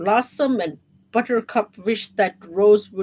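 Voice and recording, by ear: The passage gets read aloud. The voice used is natural.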